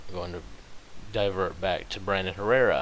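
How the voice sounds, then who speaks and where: In a room with audible echo, a man mumbles with a very deep, low pitch. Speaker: vlogger. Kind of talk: casual monologue. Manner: mumbling; halting.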